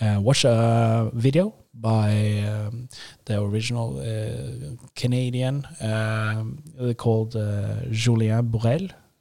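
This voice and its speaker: Pitched in the medium range, a man speaks with a dark, mellow tone and ordinary pitch variation. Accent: Norwegian. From Norway. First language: Norwegian. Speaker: university professor and podcast host. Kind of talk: casual discussion. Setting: studio. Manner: halting.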